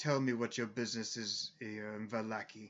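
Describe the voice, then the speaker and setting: A man performs a gruff, put-on character voice at a medium pitch with monotone, flat intonation. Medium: actual play. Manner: domineering.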